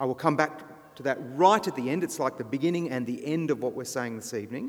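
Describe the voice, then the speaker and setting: A man talks in an unremarkable speaking voice. His pitch is fairly high and his intonation lively. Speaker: guest preacher. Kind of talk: sermon. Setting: church.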